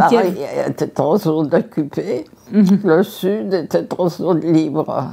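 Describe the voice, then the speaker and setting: The speech is very slow, with ordinary pitch variation and very even loudness. Background noise is noticeable. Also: woman, fairly low pitch for a woman. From Paris, France. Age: 80s+. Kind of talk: interview answer.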